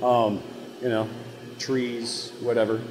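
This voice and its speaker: A man talks over noticeable background noise. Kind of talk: interview answer. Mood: relaxed, enthusiastic. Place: factory.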